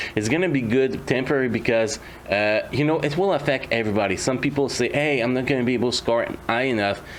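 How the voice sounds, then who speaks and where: A medium-pitched man talks at a very fast pace with a non-native accent and ordinary pitch variation. His loudness stays very even over noticeable background noise. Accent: non-native English, struggles with R. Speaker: mobile game YouTuber. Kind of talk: gameplay commentary. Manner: hesitant, many fillers.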